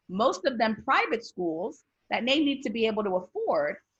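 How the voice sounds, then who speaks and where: A woman speaks at a moderate pace with a Spanish accent, her voice somewhat breathy and her intonation lively. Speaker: corporate talent recruiter. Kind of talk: panel discussion.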